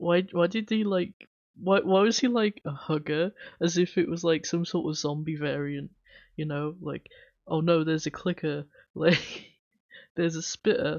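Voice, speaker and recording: With an English accent, a woman speaks at a fairly low pitch with ordinary pitch variation. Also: moderate pace. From England/Wales (UK). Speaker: streamer. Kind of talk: casual chat. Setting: livestream. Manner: chatty, rambling.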